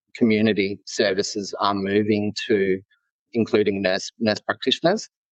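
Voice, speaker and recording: A man speaks with an Australian accent at a moderate pace and fairly low pitch, in a dry, close sound with no echo. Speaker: nurse leader. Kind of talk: podcast interview.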